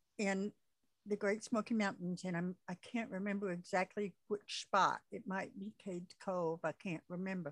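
A woman's unremarkable speaking voice with an American accent, medium pitch, fairly even intonation and moderate pace, in a dry, close sound with no echo. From US South. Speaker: podcast host. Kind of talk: casual interview chat.

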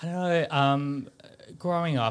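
A man talks fairly slowly in an Australian accent. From Sydney, Australia (western suburbs). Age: 40s. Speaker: fashion designer. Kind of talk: interview. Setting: studio.

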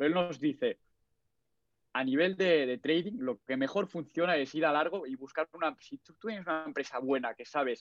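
Speaking at a fairly quick pace, a man with an unremarkable speaking voice has a fairly high pitch and lively intonation. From Catalonia, Spain (Barcelona). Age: 20s. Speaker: forex trader and engineering student. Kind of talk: casual chat.

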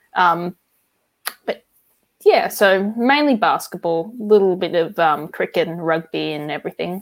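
Speaking fairly slowly with long, frequent pauses, a woman with an Australian accent uses a fairly low pitch and lively intonation. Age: 20s. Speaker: card collector and hobby shop worker. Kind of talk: casual chat.

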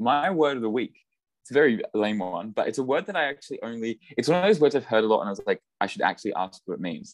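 With an Australian accent and lively intonation, a man speaks at a very fast pace in a dry, close sound with no echo. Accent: Australian, mistaken for New Zealand. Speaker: podcast co-host, physics graduate student. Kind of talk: casual chat. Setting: online call.

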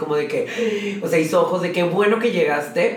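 Audible room echo and noticeable background noise surround a man speaking in an animated tone. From Monterrey, Mexico. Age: 30s. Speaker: drag queen. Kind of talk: casual chat.

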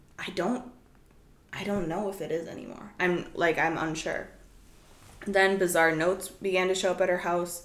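At a moderate pace and with long, frequent pauses, a medium-pitched woman speaks with fairly even intonation, big swings in loudness, and audible room echo. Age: 20s. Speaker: podcast host. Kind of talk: casual chat.

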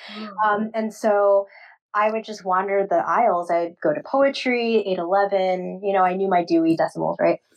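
A woman with an American accent speaks at a medium pitch and a moderate pace. She has a plain, everyday voice with fairly even intonation. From Queens, New York. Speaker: author and librarian. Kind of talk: casual interview.

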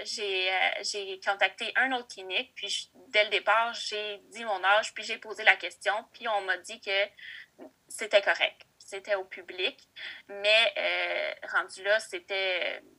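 At a very slow pace, a woman speaks in a medium pitch with fairly even intonation and big swings in loudness. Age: 20s. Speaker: daycare educator sharing assisted reproduction story. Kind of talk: interview testimony. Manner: hesitant, many fillers.

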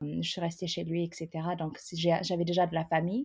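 A woman with a fairly low pitch and a somewhat breathy voice speaks against a quiet background. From Ethiopia. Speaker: immigrant sharing her story. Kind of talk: interview.

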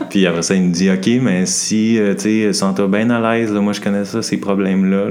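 A man with a Quebec accent and a very deep, low voice, ordinary pitch variation, noticeable background noise and audible room echo. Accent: Québécois French. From Montreal, Quebec. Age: 30s. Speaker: doctoral student. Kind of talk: casual chat.

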